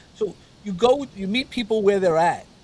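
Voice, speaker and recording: This is a man speaking. He has a New York accent. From New York City (Brooklyn). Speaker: mentor and coach. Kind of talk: interview conversation. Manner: halting, many repeated words.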